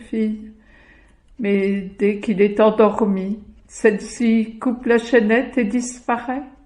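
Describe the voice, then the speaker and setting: A woman with a fairly high pitch and a dark, mellow, somewhat breathy tone speaks at a very slow pace with fairly even intonation. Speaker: storyteller. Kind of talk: folk tale storytelling.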